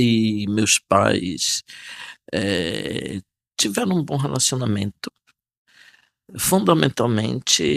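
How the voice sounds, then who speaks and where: In a dry, close recording with no echo, a man speaks at a very slow pace. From Brazil, Bahia (Salinas da Margarida, Bay of All Saints). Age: 60s. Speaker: archbishop. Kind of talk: interview testimony. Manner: calm, serene; hesitant, with fillers.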